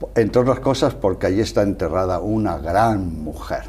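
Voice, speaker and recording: A man speaks with a Castilian accent. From Spain, Salamanca. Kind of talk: interview.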